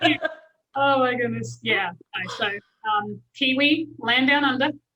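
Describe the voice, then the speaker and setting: A woman with a New Zealand accent speaks in a high pitch with a raised, projected voice. Her pace is fairly slow. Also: ordinary pitch variation. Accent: New Zealand accent, noticeable. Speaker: business and life coach. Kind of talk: casual interview chat.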